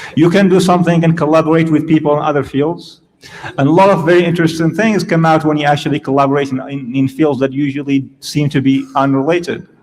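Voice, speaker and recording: A man with a fairly high pitch at a very fast pace, with fairly even intonation. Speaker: professor. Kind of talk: lecture.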